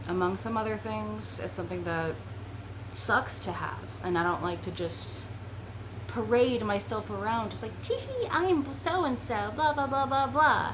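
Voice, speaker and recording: A woman talks at a fairly slow pace. Audible room echo and noticeable background noise surround her voice. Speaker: VRChat content creator. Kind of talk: casual chat.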